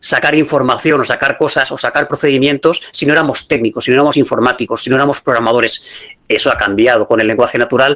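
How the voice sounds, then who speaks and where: Very fast speech from a man, fairly high-pitched, with fairly even intonation. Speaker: AI consultant and business school lecturer. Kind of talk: lecture.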